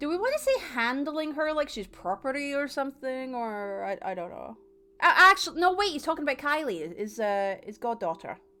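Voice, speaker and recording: Raised and projected, a woman's bright, sharp voice runs at a fairly quick pace in a high pitch, with very wide pitch swings and big swings in loudness. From England. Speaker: video game streamer. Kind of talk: live gameplay commentary, reading game text aloud. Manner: animated.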